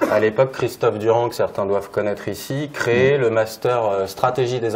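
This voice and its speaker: There is noticeable background noise as a man talks at a fairly quick pace. His pitch is medium. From Normandy, France (Évreux). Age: 30s. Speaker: local government sports manager. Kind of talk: conference talk. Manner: hesitant, many fillers.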